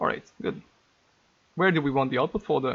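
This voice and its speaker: A man's fairly high-pitched voice with vocal fry. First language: not English. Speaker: game modder. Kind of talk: tutorial. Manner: hesitant, many fillers.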